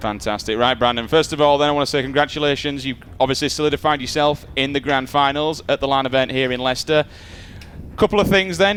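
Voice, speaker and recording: Over noticeable background noise, a man talks at a very fast pace with a northern English accent, a fairly high pitch and fairly even intonation. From northern England. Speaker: esports presenter. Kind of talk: interview.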